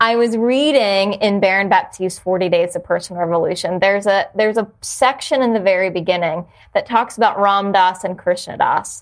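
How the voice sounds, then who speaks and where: A woman's plain, everyday voice at medium pitch, with an American accent, ordinary pitch variation, a fairly quick pace and hardly any pauses, on a very clean recording with a silent background. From New Jersey (South Jersey). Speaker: yoga studio owner. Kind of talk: casual chat.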